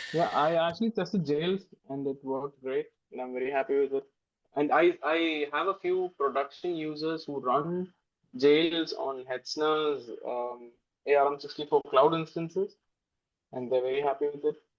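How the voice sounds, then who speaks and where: A man speaks with a Keralan accent at a fairly high pitch. His pace is moderate and his pitch varies in an ordinary way. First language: Malayalam. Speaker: software developer. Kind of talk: casual chat. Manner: halting, many fillers.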